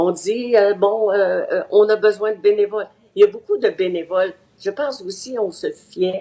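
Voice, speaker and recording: A medium-pitched woman with a dark, mellow tone speaks at a fairly slow pace with fairly even intonation. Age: 80s+. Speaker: seniors' advocate. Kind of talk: interview. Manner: halting.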